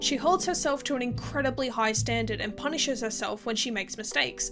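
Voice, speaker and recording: A woman talks at a fairly quick pace with a high pitch and ordinary pitch variation. Music plays in the background. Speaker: video essayist. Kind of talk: video essay narration.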